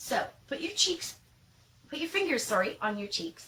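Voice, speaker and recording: A woman is speaking. She has a Canadian accent. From Canada. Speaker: pronunciation teacher. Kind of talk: tutorial. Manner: clear, slow enunciation for learners; animated.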